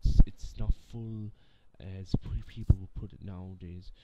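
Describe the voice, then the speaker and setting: A man speaks at a fairly slow pace in a very deep, low voice that is somewhat breathy, with fairly even intonation. The sound is dry with no echo, over light background noise. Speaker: gaming channel vlogger. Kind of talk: casual vlog chat. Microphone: webcam.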